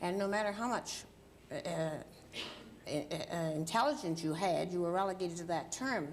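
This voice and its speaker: A woman's fairly low voice at a moderate pace, with audible room echo. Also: lively intonation. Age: 70s. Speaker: journalist and civil rights activist, author. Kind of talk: TV talk show interview. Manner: halting.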